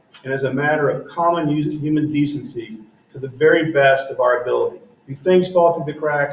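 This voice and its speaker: A fairly high-pitched man with fairly even intonation, with audible room echo. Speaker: school board member. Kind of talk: public meeting statement.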